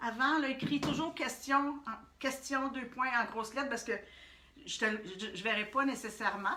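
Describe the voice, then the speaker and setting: Speaking with a Quebec accent, a woman raises and projects her high-pitched voice at a moderate pace, with ordinary pitch variation. Long, frequent pauses break up her speech, and there is noticeable background noise and audible room echo. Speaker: art workshop instructor. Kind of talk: live-streamed tutorial. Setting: Facebook Live stream. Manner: hesitant with many fillers.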